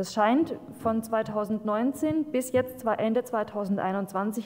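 A woman speaks with ordinary pitch variation. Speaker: local councillor. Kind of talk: council speech. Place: meeting room. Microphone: podium.

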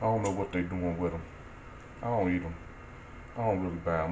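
Over light background noise, a man with a very deep, low pitch talks in fairly even intonation. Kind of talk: casual cooking tutorial. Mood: relaxed, amused. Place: kitchen. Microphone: phone near.

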